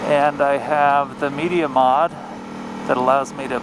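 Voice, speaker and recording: A fairly high-pitched man talks fairly slowly, with noticeable background noise behind him. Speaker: motorcycle vlogger. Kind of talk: casual narration while riding. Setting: outdoors on a motorcycle.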